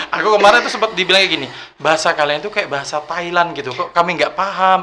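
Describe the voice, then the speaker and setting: Speech at a very fast pace with ordinary pitch variation runs over noticeable background noise. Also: man, high pitch for a man. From Bangka Belitung, South Bangka, Indonesia. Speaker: youth ambassador, former bank employee. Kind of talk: casual podcast interview.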